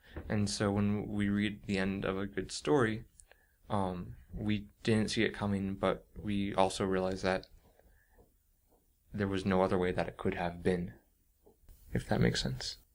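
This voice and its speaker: A soft-spoken man at a fairly low pitch and fairly slow pace, with ordinary pitch variation, long, frequent pauses, and a very clean recording with a silent background. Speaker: author and creative writing teacher. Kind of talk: interview answer.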